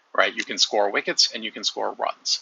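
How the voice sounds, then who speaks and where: Fairly quick pace from a man with an American accent. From United States. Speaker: YouTuber discussing sports. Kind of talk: casual monologue. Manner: halting, many fillers.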